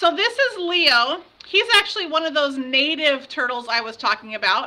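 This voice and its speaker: A raised, projected voice moves through very wide pitch swings. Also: woman. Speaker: outdoor education teacher. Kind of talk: online lesson to students. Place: classroom. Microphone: webcam.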